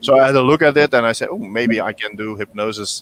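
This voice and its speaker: Speaking in a Flemish accent, a man moves at a fairly quick pace with ordinary pitch variation. The sound is dry and close, without echo. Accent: Belgian Dutch (Flemish) accent in English. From Belgium (Dutch-speaking). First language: Dutch. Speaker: hypnotherapist. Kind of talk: interview. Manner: halting, many repetitions and fillers.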